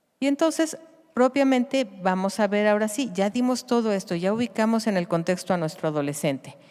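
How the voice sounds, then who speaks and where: Her pitch medium, a woman talks at a fairly quick pace with very wide pitch swings. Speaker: pediatrician. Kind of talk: conference lecture.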